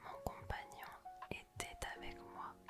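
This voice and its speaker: A woman whispering over background music. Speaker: ASMR content creator. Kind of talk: ASMR vlog voiceover. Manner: whispered, soft.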